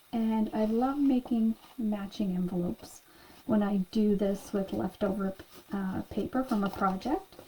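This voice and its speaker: Soft-spoken and fairly high-pitched, a woman talks at a fairly slow pace. Her intonation is lively. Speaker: craft class instructor. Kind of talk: tutorial.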